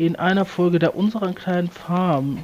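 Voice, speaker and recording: There is noticeable background noise behind this recording. A man speaks in a high voice. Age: 30s. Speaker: podcast co-host. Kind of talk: casual chat.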